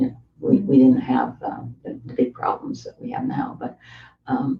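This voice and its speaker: Somewhat breathy, a woman speaks at a moderate pace with very wide pitch swings. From East coast of Canada. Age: 80s+. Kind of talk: interview answer. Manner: conversational.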